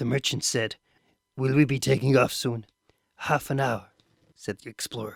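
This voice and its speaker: A raspy put-on character voice at a moderate pace with long, frequent pauses, dry and close with no echo. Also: man, medium pitch for a man. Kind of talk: audiobook reading. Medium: read story.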